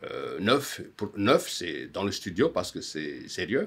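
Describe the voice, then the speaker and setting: A man speaks at a very slow pace. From Madagascar. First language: Malagasy (speaking French). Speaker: musician and songwriter. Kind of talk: conference talk. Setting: auditorium. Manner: halting. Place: home room.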